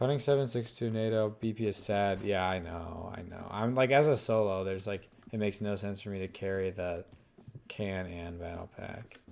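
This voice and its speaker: A man mumbles his words. He speaks at a moderate pace. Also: fairly low pitch for a man, ordinary pitch variation. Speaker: gaming streamer. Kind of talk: live gameplay commentary. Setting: live stream. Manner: mumbling.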